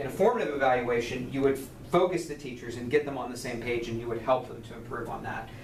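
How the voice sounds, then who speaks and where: Very fast talk with fairly even intonation, set against noticeable background noise and audible room echo. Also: man. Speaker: university lecturer. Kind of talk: recorded lecture. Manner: halting with fillers and repeats.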